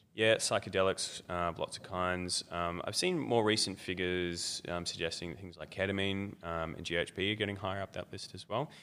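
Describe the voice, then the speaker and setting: With an Australian accent, a man talks at a fairly quick pace with hardly any pauses, his very deep, low pitch carrying a bright, sharp tone. His intonation is fairly even while his loudness swings widely, on a very clean recording with a silent background. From Australia, Melbourne. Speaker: academic researcher on darknet drug markets. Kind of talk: interview. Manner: hesitant with many fillers.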